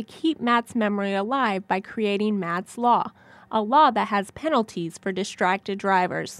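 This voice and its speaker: In an ordinary speaking voice, a woman talks at a fairly high pitch with ordinary variation and a moderate pace, on a very clean recording with a silent background and a dry, close sound with no echo. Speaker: broadcast journalist, TV news reporter. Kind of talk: TV news reporting, stand-ups and voiceover packages.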